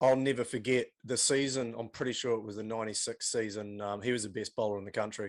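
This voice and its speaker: Against a quiet background, a man with a New Zealand accent talks very fast at a medium pitch, with monotone, flat intonation and hardly any pauses. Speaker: podcast host. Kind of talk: casual chat.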